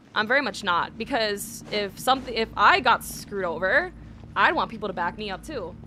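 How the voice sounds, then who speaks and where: A bright, sharp tone marks this woman's speech. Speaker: gaming streamer. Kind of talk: casual livestream chat. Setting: livestream. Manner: fast; hesitant, many fillers. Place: home room. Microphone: studio mic.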